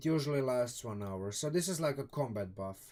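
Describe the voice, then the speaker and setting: Lively intonation marks this voice, which carries a strong Croatian accent. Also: man. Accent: thick Croatian accent in English. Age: 30s. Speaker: streamer discussing tabletop game books. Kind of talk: live stream commentary. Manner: halting.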